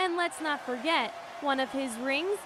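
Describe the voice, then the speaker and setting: A raised, projected voice with ordinary pitch variation comes through over noticeable background noise. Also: woman. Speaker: sports reporter. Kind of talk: sports news reporter delivery.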